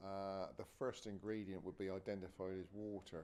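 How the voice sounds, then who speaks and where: A man with a West Country accent speaks at a fairly slow pace. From West Country England. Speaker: cider maker. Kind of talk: interview. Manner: halting.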